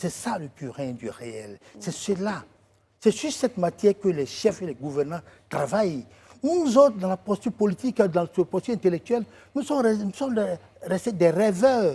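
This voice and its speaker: At a moderate pace, a man with a high pitch and a dark, mellow tone makes very wide pitch swings in a dry, close recording with no echo. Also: big swings in loudness. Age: 60s. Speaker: writer and political commentator. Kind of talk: TV talk show interview. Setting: TV studio.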